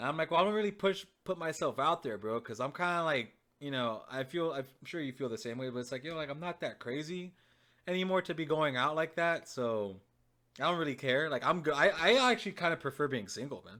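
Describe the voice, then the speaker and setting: Over a silent background in a very clean recording, a man speaks fairly quickly in a fairly high voice with a bright, sharp tone and lively intonation. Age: 20s. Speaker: podcast guest, gamer. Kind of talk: casual chat.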